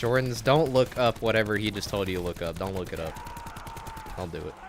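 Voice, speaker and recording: A man's fairly low voice with lively intonation and a fairly quick pace, over noticeable background noise. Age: 20s. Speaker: gaming live streamer. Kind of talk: casual live stream chat, reading viewer messages. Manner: youthful-sounding.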